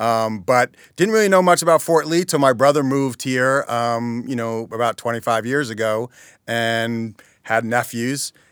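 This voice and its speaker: At a moderate pace, a man with an American accent uses an unremarkable speaking voice of medium pitch with ordinary pitch variation, on a very clean recording with a silent background. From Teaneck, New Jersey. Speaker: chamber of commerce president and Little League administrator. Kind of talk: casual interview chat. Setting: podcast studio.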